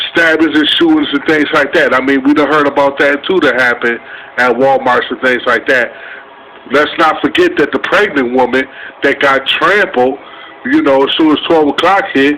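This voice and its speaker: A man at a moderate pace with very even loudness and ordinary pitch variation, plus noticeable background noise. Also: fairly high pitch for a man. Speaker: vlogger. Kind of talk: casual storytelling vlog.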